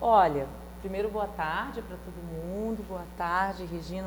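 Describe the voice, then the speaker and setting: A woman at a moderate pace, with audible echo from the room. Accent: Rio de Janeiro. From Rio de Janeiro, Brazil. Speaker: writer and university lecturer. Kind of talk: talk show interview.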